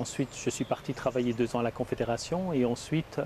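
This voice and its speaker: This man talks at a very fast pace. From Basel, Switzerland. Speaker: pastor. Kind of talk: interview testimony.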